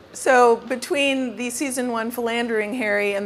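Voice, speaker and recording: A woman's fairly high voice at a moderate pace, fairly even in intonation, amid noticeable background noise. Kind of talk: moderated interview. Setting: stage with audience at store event.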